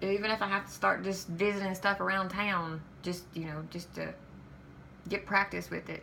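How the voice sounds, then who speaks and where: A woman's medium-pitched voice at a moderate pace, monotone and flat in intonation. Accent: Southern US. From Kentucky. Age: 40s. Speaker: vlogger. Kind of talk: vlog monologue. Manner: halting, hesitant.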